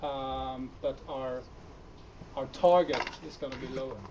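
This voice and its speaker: A man with a Swedish accent and ordinary pitch variation, over noticeable background noise. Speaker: startup founder. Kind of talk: conference talk with Q&A. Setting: meetup stage with audience. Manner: hesitant, many fillers.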